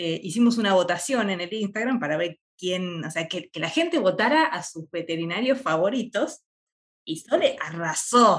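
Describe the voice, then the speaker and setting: A woman's medium-pitched voice in a Rioplatense accent at a moderate pace. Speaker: podcast co-host, veterinarian. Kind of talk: casual interview.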